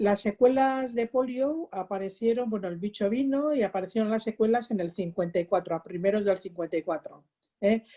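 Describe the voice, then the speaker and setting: Fairly high in pitch yet dark and mellow in tone, a woman speaks at a fairly quick pace in a dry, close sound with no echo. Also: ordinary pitch variation. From Basque Country, Biscay coast (Ondarroa). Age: 60s. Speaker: polio survivor. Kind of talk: testimony.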